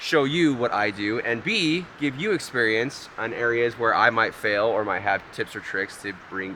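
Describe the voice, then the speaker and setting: A man speaks loudly at a medium pitch and a moderate pace. His intonation is lively, with noticeable background noise behind him. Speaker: amateur landscape photographer, vlogger. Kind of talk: outdoor vlog. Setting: outdoors by waterfall. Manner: casual.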